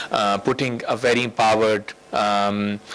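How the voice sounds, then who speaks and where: A man's monotone, flat delivery sits amid noticeable background noise. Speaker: UN official giving a speech. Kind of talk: conference speech. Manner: halting, many fillers.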